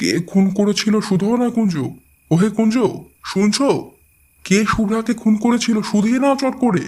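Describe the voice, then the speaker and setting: Putting on a character voice, a man speaks quietly at a high pitch and a moderate pace. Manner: hushed, urgent.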